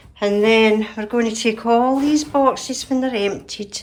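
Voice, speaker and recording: Speaking with a Scottish accent, a woman talks at a fairly slow pace, her fairly high pitch showing ordinary variation. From Scotland. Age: 60s. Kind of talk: casual talk to camera.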